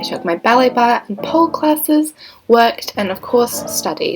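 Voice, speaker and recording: A woman's high voice with lively intonation at a moderate pace, music playing in the background. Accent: New Zealand. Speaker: nursing student. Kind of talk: vlog voice-over narration.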